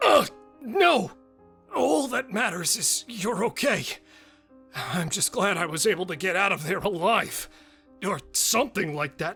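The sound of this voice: Over faint music in the background, a man uses a put-on character voice, raised and projected, high in pitch with lively intonation, at a moderate pace with long, frequent pauses.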